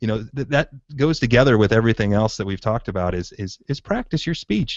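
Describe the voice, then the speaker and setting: Medium-pitched male speech at a fairly quick pace. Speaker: podcast host. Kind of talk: casual interview chat. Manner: fast.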